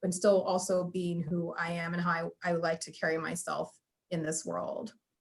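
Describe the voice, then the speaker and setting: A plain, everyday voice with an American accent at a fairly slow pace. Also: woman. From California, USA. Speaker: engineer. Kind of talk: panel interview answer.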